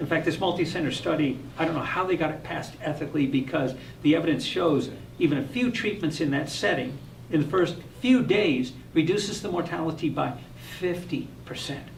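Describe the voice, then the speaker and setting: A man's fairly high voice at a very fast pace, with ordinary pitch variation and audible room echo. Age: 60s. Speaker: hyperbaric oxygen physician. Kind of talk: live stream Q&A.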